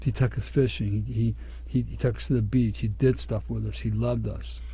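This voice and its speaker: A man with a very deep, low pitch speaks at a moderate pace in a flat monotone. His tone is dark, mellow and somewhat breathy, with audible room echo. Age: 60s. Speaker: radio host. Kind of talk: radio talk show monologue.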